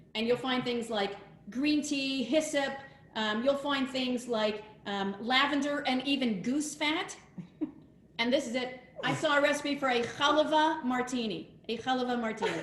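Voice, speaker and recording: Audible room echo and noticeable background noise surround a woman's high-pitched voice. She speaks at a moderate pace with ordinary pitch variation. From Quebec, Montreal. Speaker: rabbi. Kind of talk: casual presentation.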